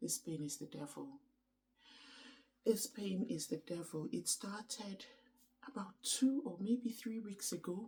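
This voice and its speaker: A woman with a dark, mellow, somewhat breathy voice of medium pitch speaks at a fairly slow pace, with very wide pitch swings and long, frequent pauses. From Nigeria, Igbo from Anambra. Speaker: vlogger. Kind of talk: casual vlog chat. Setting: at home early morning, others asleep. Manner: hesitant, many ums.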